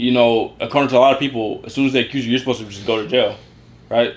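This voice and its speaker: A very fast-talking man with a medium pitch. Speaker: YouTuber, co-host of a couple's channel. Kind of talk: casual opinion talk to camera. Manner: fast, rambling; animated.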